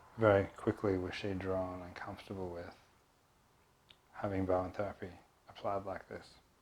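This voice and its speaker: A soft-spoken man mumbles in a fairly low pitch, with big swings in loudness. He leaves long, frequent pauses. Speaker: Bowen therapist. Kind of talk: tutorial. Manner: mumbling.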